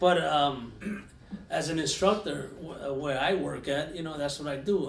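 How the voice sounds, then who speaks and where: In a room with audible room echo, a man speaks at a fairly slow pace. His pitch is fairly high, with ordinary variation. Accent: New York. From New York (Yonkers). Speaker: podcast host and firearms instructor. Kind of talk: casual chat.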